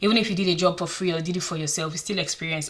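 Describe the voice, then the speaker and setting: Against noticeable background noise, a woman with a Nigerian accent speaks at a fairly low pitch with fairly even intonation. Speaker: career advice vlogger. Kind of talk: casual advice vlog.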